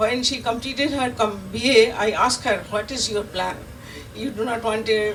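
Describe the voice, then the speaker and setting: A woman's fairly high voice, with fairly even intonation at a moderate pace, comes through noticeable background noise and audible room echo. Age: 80s+. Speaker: veteran Montessori teacher, award recipient. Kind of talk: acceptance speech. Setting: stage with audience. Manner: halting, repetitive.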